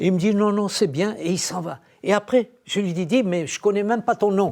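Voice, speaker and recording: On a very clean recording with a silent background, a man speaks at a moderate pace in a high pitch with ordinary pitch variation. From Morocco. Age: 80s+. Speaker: former singer giving testimony. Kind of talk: testimony.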